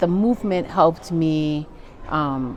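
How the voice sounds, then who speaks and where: A woman's fairly low voice with an American accent, at a fairly slow pace, over noticeable background noise. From US, California (Berkeley) and upstate New York. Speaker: professor. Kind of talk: interview conversation. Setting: podcast recording.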